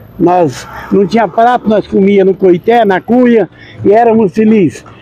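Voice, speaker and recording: Recorded with a dry, close sound with no echo but with noticeable background noise, a man speaks at a high pitch and a fairly slow pace, with ordinary pitch variation and very even loudness. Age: 70s. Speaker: accordion player. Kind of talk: interview.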